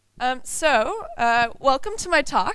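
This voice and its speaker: Female voice with a bright, sharp tone in a very clean recording with a silent background. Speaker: UX designer. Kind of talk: conference talk. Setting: stage with audience. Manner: fast.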